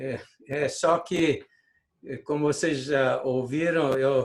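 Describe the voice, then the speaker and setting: A man with a non-native accent speaks at a very slow pace. His fairly high-pitched voice stays in a monotone, flat intonation. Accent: foreign-sounding Portuguese. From Brazil. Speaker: scientist, invited lecturer. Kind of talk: scientific lecture.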